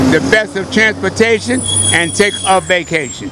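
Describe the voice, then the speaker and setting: Over loud background noise, a man with a high voice comes through a dry sound with no echo. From New York. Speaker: Nation of Islam religious teacher. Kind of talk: street preaching and promotion. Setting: outdoors on a street. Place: street. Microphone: handheld.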